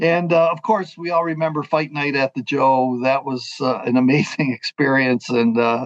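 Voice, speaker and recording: A man with an ordinary speaking voice talks at a moderate pace, his fairly high pitch showing ordinary variation. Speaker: radio play-by-play announcer. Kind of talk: interview answer. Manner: casual, conversational.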